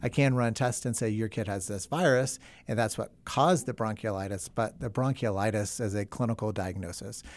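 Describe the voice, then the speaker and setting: A man with an American accent and an ordinary speaking voice talks at a fairly quick pace in a medium pitch, with hardly any pauses. His pitch varies in an ordinary way, and the recording is very clean with a silent background. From US South. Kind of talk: interview. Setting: studio.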